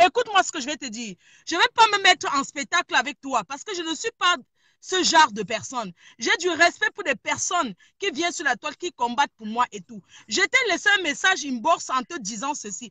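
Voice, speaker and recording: Over a quiet background, a woman speaks fairly quickly in a raised, projected, animated voice, high-pitched, bright and sharp, with very wide pitch swings and big swings in loudness. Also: dry sound with no echo. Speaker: caller. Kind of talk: heated debate. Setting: in a car. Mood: firm, confrontational. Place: car. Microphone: phone near.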